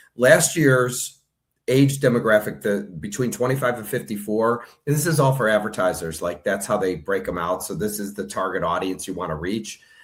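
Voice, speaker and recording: A man has a normal speaking voice, fairly low in pitch, at a moderate pace. The recording is very clean with a silent background. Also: lively intonation. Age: 60s. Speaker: online news platform owner. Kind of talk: interview.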